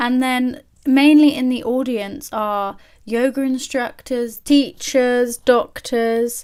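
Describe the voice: Speaking at a slow pace, a woman with a fairly high pitch has a clear, smooth, slightly mellow tone and fairly even intonation.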